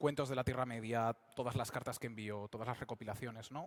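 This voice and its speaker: The intonation is monotone and flat. A man delivers his words at a moderate pace. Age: 20s. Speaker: fantasy novelist and speaker. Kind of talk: public talk at a convention. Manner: hesitant with fillers.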